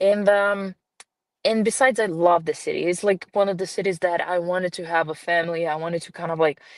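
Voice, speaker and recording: A woman talks at a fairly quick pace with a slight Brazilian accent. Her pitch is fairly low and her intonation fairly even, over a quiet background. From Brazil, grew up in a small town. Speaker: film producer and director. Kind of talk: podcast interview. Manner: hesitant, many fillers.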